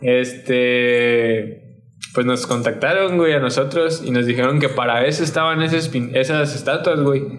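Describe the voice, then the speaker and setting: Over noticeable background noise and audible room echo, a man at medium pitch speaks at a fairly slow pace with fairly even intonation and very even loudness. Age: 20s. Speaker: skateboarder and muralist. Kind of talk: casual chat.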